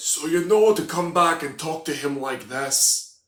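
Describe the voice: A gruff, put-on character voice from a man in a Scottish accent, fairly high in pitch, at a moderate pace.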